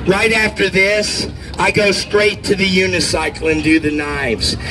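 A man talks at a moderate pace in a high-pitched, raised and projected voice with an animated tone, over noticeable background noise. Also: very even loudness. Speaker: street performer. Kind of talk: street performer crowd-work pitch, coaxing cheers and tips. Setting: outdoors at a festival with live audience. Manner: cheeky, joking and animated. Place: street. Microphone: camera far.

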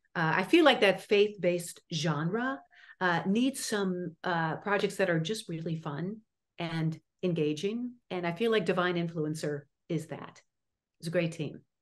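Speaking at a fairly slow pace, a woman with an American accent uses a fairly low voice with ordinary pitch variation. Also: quiet background. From US Midwest, Chicago suburbs; Illinois. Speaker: actress and acting teacher; actress, acting coach. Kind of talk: interview. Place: home room. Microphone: video call.

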